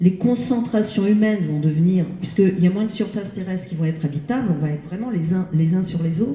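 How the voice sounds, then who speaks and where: Over noticeable background noise, a woman talks fairly quickly with hardly any pauses, at medium pitch with ordinary variation. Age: 60s. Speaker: audience member. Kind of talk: audience question. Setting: library event with audience.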